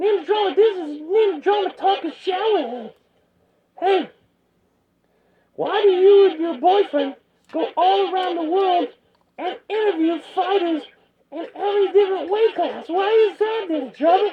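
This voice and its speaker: A squeaky put-on character voice talks at an extremely high pitch and a moderate pace, with long, frequent pauses. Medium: solo performance. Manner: mocking questions.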